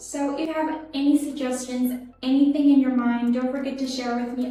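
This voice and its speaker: The speaker has a non-native accent and fairly even intonation. Audible room echo surrounds the voice. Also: woman. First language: not English. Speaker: English teacher. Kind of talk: tutorial.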